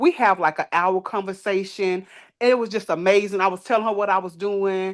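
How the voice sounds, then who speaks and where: A woman speaks at a moderate pace with an animated tone and a medium pitch. The background is quiet. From Texas, Dallas. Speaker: transitional housing operator. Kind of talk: casual chat.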